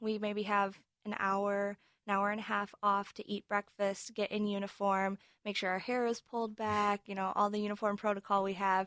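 A woman at medium pitch and a fairly quick pace, recorded with a dry, close sound and no echo. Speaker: marching band president, student. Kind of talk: interview answers.

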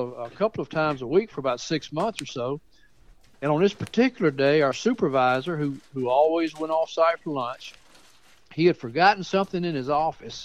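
A man in a Southern US accent, fairly high in pitch with ordinary pitch variation, at a fairly quick pace, in a dry, close sound with no echo. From Mount Pleasant, Tennessee. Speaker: author. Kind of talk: storytelling. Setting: phone call.

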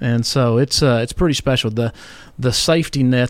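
Talking at a fairly quick pace in a Tennessee accent, a man keeps a medium pitch and fairly even intonation. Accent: Tennessee Southern US. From Tennessee, Columbia. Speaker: insurance regional manager. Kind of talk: casual interview.

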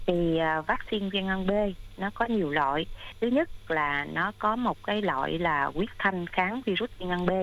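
Medium pitch from a woman, with ordinary pitch variation at a moderate pace. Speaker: doctor. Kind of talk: expert Q&A on health radio. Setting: radio studio. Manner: halting, many filler sounds.

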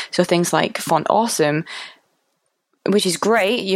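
A woman with a Mancunian accent, ordinary pitch variation and a moderate pace. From Manchester, England. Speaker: UX designer. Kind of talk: casual chat.

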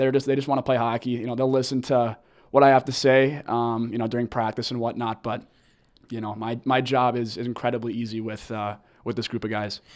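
Over a quiet background, a man speaks in an American accent at a medium pitch. His delivery is fairly quick, with monotone, flat intonation. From Minnesota (Edina). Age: 20s. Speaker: college hockey team captain. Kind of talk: interview.

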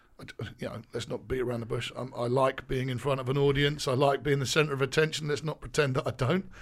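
A somewhat breathy voice speaks at a very fast pace with monotone, flat intonation. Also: man, medium pitch for a man. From eastern England. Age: 30s. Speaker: basketball coach. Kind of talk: interview.

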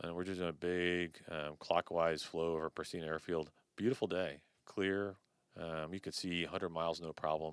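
A man with a very deep, low pitch talks at a moderate pace with fairly even intonation. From US, moved from Colombia at five. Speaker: retired naval aviator and entrepreneur. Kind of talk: interview storytelling. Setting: studio.

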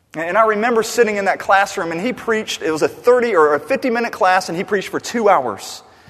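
Over noticeable background noise, a man talks very fast at a high pitch with ordinary pitch variation. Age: 30s. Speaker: pastor. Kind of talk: sermon.

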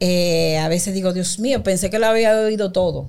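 She has a medium-pitched voice, an unremarkable speaking voice, with ordinary pitch variation. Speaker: women's empowerment coach. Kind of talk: interview.

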